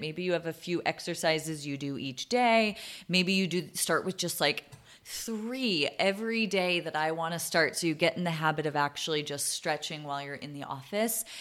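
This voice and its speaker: Here is a woman with a plain, everyday voice and an American accent. Her pitch is fairly low, with ordinary pitch variation at a moderate pace. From Boston, US. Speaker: podcast host, former dental hygienist and wellness coach. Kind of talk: solo podcast talk.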